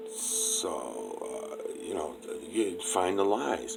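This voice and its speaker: Music plays in the background. A man is speaking. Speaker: conspiracy video creator. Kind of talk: casual monologue responding to viewer mail. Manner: hesitant, many fillers.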